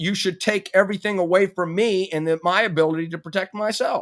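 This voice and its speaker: An animated tone with ordinary pitch variation moves at a fairly quick pace in a very clean recording with a silent background. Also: man. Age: 50s. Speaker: podcast host. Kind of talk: casual chat.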